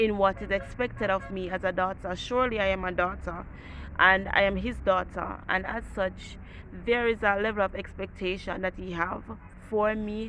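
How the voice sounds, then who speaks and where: A woman's bright, sharp voice at medium pitch, with monotone, flat intonation and a moderate pace. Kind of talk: devotional talk. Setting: outdoors.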